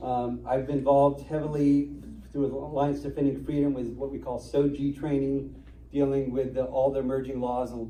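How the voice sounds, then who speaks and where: A man at medium pitch speaks at a fairly quick pace, with audible room echo. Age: 50s. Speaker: constitutional attorney. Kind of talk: talk to an audience. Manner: fast.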